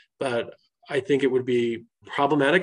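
This is a normal speaking voice from a man at a medium pitch. His intonation stays fairly even. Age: 40s. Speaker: state regulatory official. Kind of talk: interview.

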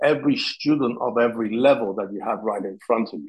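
A man speaks in an Italian accent. His pitch is medium. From Sicily, Italy. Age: 40s. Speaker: martial arts instructor. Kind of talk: interview.

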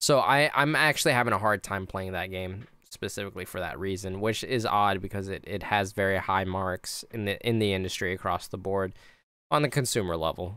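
This man's voice has a bright, sharp tone and a fairly low pitch, moving at a fairly quick pace on a very clean recording with a silent background. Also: ordinary pitch variation. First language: not English. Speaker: video game designer and podcast host. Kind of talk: casual interview.

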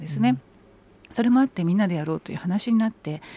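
Somewhat breathy and dark, mellow in tone, a woman's voice moves through very wide pitch swings. The sound is dry and close, without echo. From Saitama, Japan. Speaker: politician. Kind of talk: radio interview.

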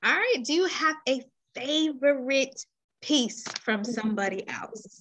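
Here a woman talks with an American accent. Her pitch is high. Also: lively intonation, fairly slow pace. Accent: urban US vernacular, self-described. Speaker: podcast host. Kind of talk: casual interview chat. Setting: podcast recording.

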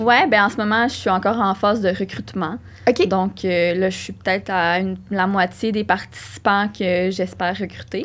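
A woman speaks with vocal fry and fairly even intonation. The recording is very clean, with a silent background. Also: medium pitch for a woman, moderate pace. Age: 20s. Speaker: psychology doctoral student. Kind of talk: casual interview.

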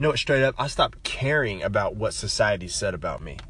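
A man talking very fast in an animated tone, with noticeable background noise. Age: 20s. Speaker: podcaster. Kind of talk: monologue rant.

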